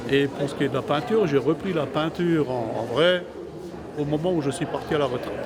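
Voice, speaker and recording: A man with a fairly high voice talks fairly quickly, his pitch varying in an ordinary way, while noticeable background noise and audible room echo surround him. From Lorraine, France (Moselle). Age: 70s. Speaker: amateur painter. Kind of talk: interview. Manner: hesitant.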